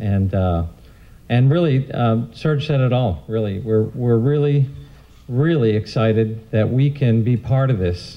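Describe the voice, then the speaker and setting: At a fairly slow pace, a man talks in a medium pitch with ordinary pitch variation. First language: English (speaking French). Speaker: event co-president. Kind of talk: public speech. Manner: halting.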